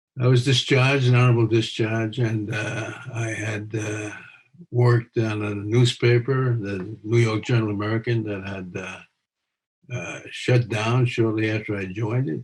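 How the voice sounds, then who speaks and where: The voice is somewhat breathy and moves at a moderate pace. Its intonation stays monotone and flat. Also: man, medium pitch for a man. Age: 80s+. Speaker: retired police officer, criminal defense lawyer. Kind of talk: casual spoken introduction. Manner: hesitant, halting.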